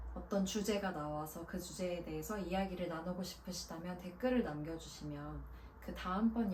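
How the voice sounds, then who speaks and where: Against noticeable background noise, a woman talks in a calm tone at a fairly slow pace. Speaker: voice actor. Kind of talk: book introduction talk to camera. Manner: calm, soft-spoken.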